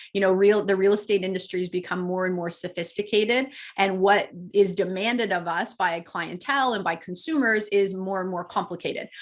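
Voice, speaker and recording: Over a quiet background, a woman talks at a medium pitch and a fairly quick pace. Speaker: real estate coach. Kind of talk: webinar presentation. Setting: webinar. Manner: fast; animated.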